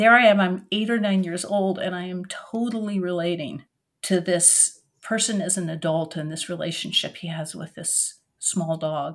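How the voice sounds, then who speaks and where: A woman with an American accent uses a normal speaking voice at a medium pitch and a moderate pace, her intonation fairly even but her loudness swinging widely, in a very clean recording with a silent background. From Oregon. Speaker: author and retired professor. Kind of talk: interview.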